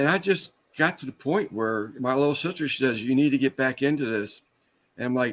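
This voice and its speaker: This man has an ordinary speaking voice, pitched fairly high, with lively intonation. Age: 60s. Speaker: small business owner. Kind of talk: casual chat.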